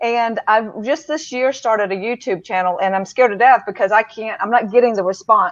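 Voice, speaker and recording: A woman with a Deep South accent talks at a fairly quick pace with ordinary pitch variation and hardly any pauses. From Mississippi. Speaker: public speaker. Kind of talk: casual chat. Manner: halting.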